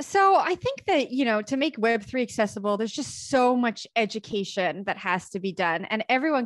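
A woman with a Canadian accent talks at a fairly quick pace and a fairly high pitch, an unremarkable speaking voice on a very clean recording with a silent background. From Canada. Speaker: crypto media show co-host. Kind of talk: casual chat.

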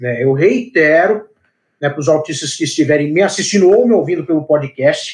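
This man has an unremarkable speaking voice, fairly high in pitch. He goes at a moderate pace with lively intonation. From Brazil, São Paulo. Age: 20s. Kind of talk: interview.

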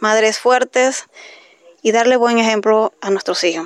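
Here a woman speaks at fairly high pitch with fairly even intonation and a fairly slow pace. The sound is dry and close, with no echo. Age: 30s. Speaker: single mother. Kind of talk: testimony.

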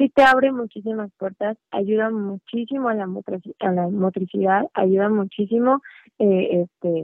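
A woman has an unremarkable speaking voice at a medium pitch. She uses ordinary pitch variation. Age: 20s. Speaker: musician and hairstylist. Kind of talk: casual interview.

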